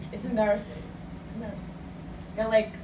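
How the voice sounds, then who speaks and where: An animated woman with a fairly high pitch is heard with audible room echo and noticeable background noise. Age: 20s. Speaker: radio host. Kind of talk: casual chat.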